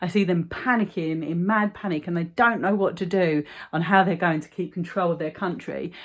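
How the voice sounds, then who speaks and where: On a very clean recording with a silent background, a woman with fairly low pitch speaks at a moderate pace in an animated tone, her pitch varying in an ordinary way. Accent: London. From London, England. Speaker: vlogger. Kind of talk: casual monologue vlog.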